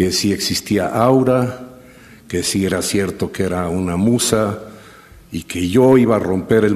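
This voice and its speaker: Noticeable noise sits in the background. A man talks, and his pitch varies in an ordinary way. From Mexico City. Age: 60s. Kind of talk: personal storytelling talk.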